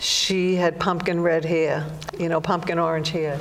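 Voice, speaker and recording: Against noticeable background noise and audible room echo, a woman speaks fairly slowly at a fairly low pitch in a flat monotone. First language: Irish Gaelic. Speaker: psychic. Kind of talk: interview.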